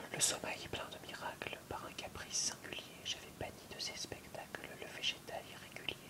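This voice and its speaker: A fairly slow whisper comes through with noticeable background noise. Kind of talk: poetry reading. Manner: whispered.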